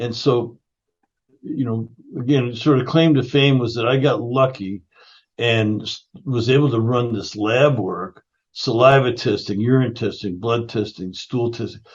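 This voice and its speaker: This voice is somewhat breathy and moves at a fairly slow pace. Its pitch varies in an ordinary way. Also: man. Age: 60s. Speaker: functional nutrition educator and founder. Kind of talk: interview conversation.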